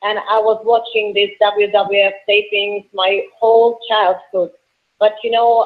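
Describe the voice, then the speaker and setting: A woman speaks in a strong Russian accent. Her pitch sits fairly high. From Russia, Moscow. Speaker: professional wrestler. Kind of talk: interview. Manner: halting.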